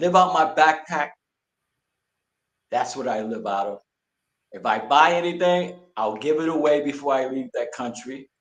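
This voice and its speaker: A man with a New York accent, fairly high in pitch and lively in intonation, at a moderate pace with big swings in loudness and long, frequent pauses. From Brooklyn, New York. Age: 60s. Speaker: retired military veteran. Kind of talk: interview.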